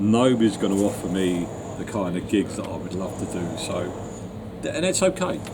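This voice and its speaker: A man with a fairly low pitch speaks at a moderate pace with fairly even intonation. The recording carries audible room echo and noticeable background noise. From London. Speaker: retired musician. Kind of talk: interview. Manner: halting.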